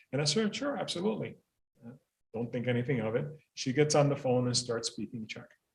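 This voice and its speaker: A man's very fast, somewhat breathy, medium-pitched speech, with lively intonation, big swings in loudness and long, frequent pauses. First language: not English (second language learner). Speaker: school principal. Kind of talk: panel talk. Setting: library event with audience and zoom.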